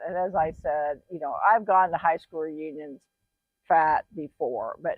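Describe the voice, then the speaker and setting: A woman with an unremarkable speaking voice talks fairly slowly at a fairly low pitch. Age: 60s. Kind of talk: casual talk to camera.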